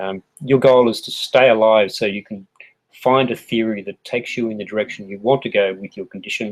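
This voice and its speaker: A man with an Australian accent talks at a fairly quick pace with big swings in loudness. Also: medium pitch for a man, fairly even intonation. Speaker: health educator. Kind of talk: tutorial. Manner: casual, with fillers.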